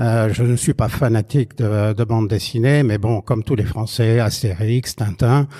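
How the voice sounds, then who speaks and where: A man's dark, mellow voice at medium pitch, fairly slow and fairly even, with hardly any pauses. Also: very even loudness. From France, Quercy. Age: 60s. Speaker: exhibition curator and blogger. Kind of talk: interview. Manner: halting, many hesitations.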